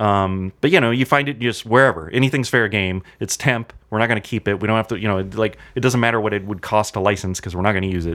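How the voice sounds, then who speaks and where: With an American accent and a fairly low pitch, a man talks at a very fast pace with hardly any pauses on a very clean recording with a silent background. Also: ordinary pitch variation. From Southern California (Anaheim). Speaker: film and TV composer and music editor. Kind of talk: casual interview chat.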